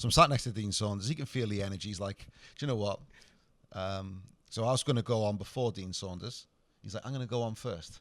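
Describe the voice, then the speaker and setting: In a Cardiff accent, a man speaks very fast at a fairly low pitch with ordinary pitch variation and long, frequent pauses. The recording is very clean, with a silent background. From Wales, Cardiff. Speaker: comedian. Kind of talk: casual chat.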